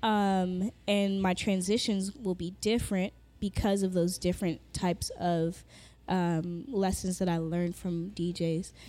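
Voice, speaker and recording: A very slow, monotone, flat delivery with a Southern California accent and a dark, mellow tone, on a very clean recording with a silent background. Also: woman. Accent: Southern California American English. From Los Angeles (Inglewood, Carson), Jamaican heritage. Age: 30s. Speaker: DJ and music producer. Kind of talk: casual interview chat. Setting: studio.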